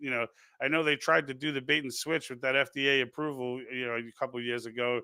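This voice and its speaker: His pace is very fast. The man's medium-pitched voice keeps a fairly even intonation. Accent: Brooklyn. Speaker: political livestream host. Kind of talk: live stream commentary reading chat comments. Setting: live stream. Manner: halting, many false starts.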